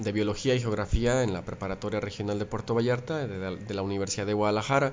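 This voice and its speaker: Fairly quick male speech with ordinary pitch variation. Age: 30s. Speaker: biologist and teacher. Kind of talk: interview. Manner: hesitant, with fillers.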